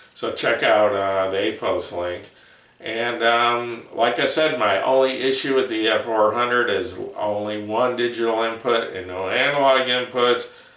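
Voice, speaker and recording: Audible room echo and noticeable background noise surround a man speaking with fairly even intonation. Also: medium pitch for a man, fairly slow pace. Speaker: headphone reviewer. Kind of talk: product review video. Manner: slow; halting, many fillers.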